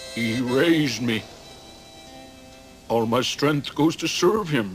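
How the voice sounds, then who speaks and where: Over clear background music, a man puts on a cartoonish character voice at a medium pitch and a fairly slow pace. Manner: drawling, plain-spoken.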